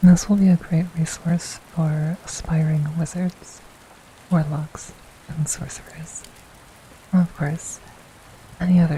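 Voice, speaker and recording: Softly spoken and fairly low in pitch, a woman talks in a monotone, flat intonation with long, frequent pauses over noticeable background noise. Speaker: VTuber. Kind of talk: ASMR gaming tutorial, educational explanation. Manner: soft-spoken.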